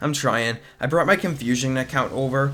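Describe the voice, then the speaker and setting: Here a man speaks in an unremarkable speaking voice. His pace is moderate, with ordinary pitch variation. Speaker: gaming video commentator. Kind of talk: gameplay commentary. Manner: casual, many filler words.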